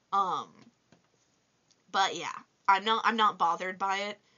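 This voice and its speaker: Fairly even intonation comes from a woman speaking at a moderate pace. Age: 20s. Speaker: toy reviewer vlogger. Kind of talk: casual vlog Q&A.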